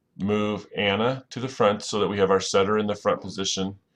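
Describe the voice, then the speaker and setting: Fairly low male voice with monotone, flat intonation over a quiet background. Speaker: volleyball coach or teacher. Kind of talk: tutorial. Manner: fast.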